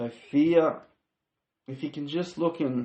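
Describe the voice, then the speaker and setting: Speaking at a very slow pace with an Australian accent, a man shows ordinary pitch variation. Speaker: podcast host. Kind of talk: faith-based self-help monologue. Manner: halting, self-correcting.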